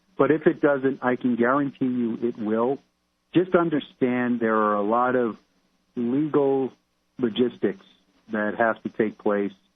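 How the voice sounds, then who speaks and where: Speaking with an American accent, a man keeps a fairly slow pace with long, frequent pauses. His pitch variation is ordinary. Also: medium pitch for a man. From New York (Brooklyn). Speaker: criminal investigator. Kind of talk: radio interview.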